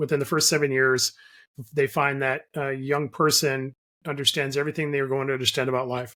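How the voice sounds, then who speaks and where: A man with an unremarkable speaking voice and a fairly high pitch talks at a fairly quick pace. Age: 60s. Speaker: life coach and author. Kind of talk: interview. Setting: remote call.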